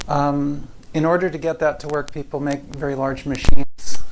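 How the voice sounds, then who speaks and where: A soft-spoken man talks at a moderate pace with a fairly high, flat, monotone pitch, amid noticeable background noise and audible room echo. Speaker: physics professor. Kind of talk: lecture. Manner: halting.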